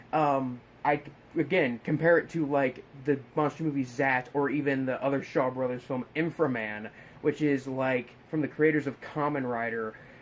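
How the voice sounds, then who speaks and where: A man talks at a moderate pace in a medium-pitched voice. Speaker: horror film reviewer. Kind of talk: casual film review monologue. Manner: mumbling, repeating words; excited, animated.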